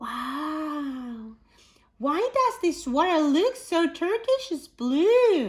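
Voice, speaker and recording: A woman puts on a squeaky character voice at an extremely high pitch, with very wide pitch swings. She speaks at a very slow pace. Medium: read story.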